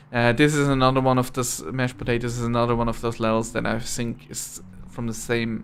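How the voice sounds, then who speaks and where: A man speaks with monotone, flat intonation. Music plays in the background. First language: not English. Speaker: gaming video reviewer. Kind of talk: gameplay commentary review. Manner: halting, many fillers and restarts.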